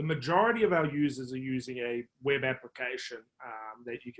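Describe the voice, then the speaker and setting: A man speaks at a moderate pace with a New Zealand accent. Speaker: marketing executive. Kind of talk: podcast interview. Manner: hesitant, many fillers.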